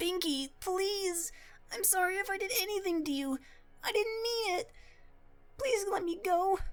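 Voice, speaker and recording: A put-on character voice, female-sounding and extremely high-pitched, at a moderate pace with long, frequent pauses. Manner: desperate, pleading.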